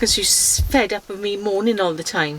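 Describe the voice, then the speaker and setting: Over noticeable background noise, a woman with a South Wales accent speaks at a fairly slow pace. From South Wales, Swansea. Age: 60s. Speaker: mother on cycling trip. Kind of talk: interview; casual chat.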